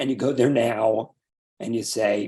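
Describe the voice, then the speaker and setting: Here a man speaks at a medium pitch. His tone is dark and mellow. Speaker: retired radio news reporter. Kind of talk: interview answer.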